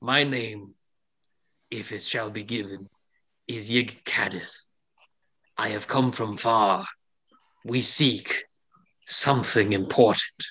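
Putting on a character voice, a man speaks at a medium pitch and a fairly slow pace, leaving long, frequent pauses. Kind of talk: formal, archaic.

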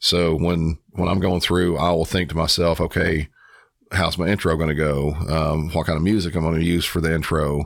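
A man with an American accent speaks at a moderate pace in a very deep, low voice, flat and monotone with very even loudness. The recording is very clean, with a silent background. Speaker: 911 dispatcher and true crime podcaster. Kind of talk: casual interview chat.

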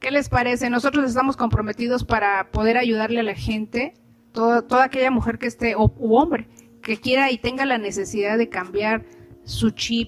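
A woman speaks at a moderate pace in a fairly high voice with ordinary pitch variation, and noticeable background noise is present. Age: 50s. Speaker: podcast host and doctor. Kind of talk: casual interview.

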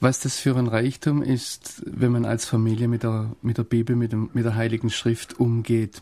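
Hardly pausing at all, a man delivers his words in a dark, mellow tone at a medium pitch, his intonation monotone and flat. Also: fairly slow pace. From Swabia, southern Germany. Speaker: foreign correspondent and theologian. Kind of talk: radio interview. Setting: studio.

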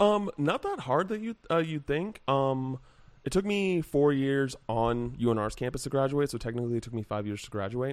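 A man with an American accent speaks in an ordinary speaking voice, fairly high pitched, at a moderate pace with lively intonation. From Henderson, Nevada (Las Vegas area). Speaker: games journalist. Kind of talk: casual chat.

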